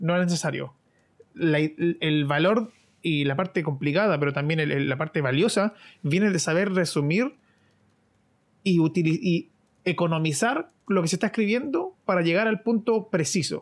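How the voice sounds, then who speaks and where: A high-pitched man with ordinary pitch variation and very even loudness, on a very clean recording with a silent background. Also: moderate pace. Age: 20s. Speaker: podcast co-host. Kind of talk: casual chat.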